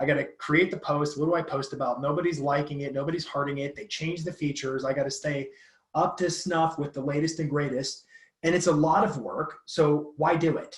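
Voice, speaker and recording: A somewhat breathy male voice at a fairly high pitch. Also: fairly quick pace. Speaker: social media marketing speaker. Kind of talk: guest talk on a live call. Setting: live call. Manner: fast; animated.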